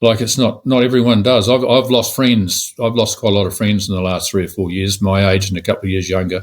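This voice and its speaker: A man with a New Zealand accent talks at a fairly low pitch and a fairly quick pace, with hardly any pauses. His intonation is fairly even, and the recording is very clean with a silent background. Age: 70s. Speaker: real estate agent. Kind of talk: interview.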